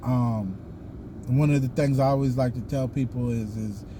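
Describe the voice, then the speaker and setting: A man with a Southern US accent talks at a moderate pace and medium pitch with fairly even intonation, and audible room echo surrounds him. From US South. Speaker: YouTuber, Freemason. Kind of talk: casual vlog monologue. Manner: halting, many fillers.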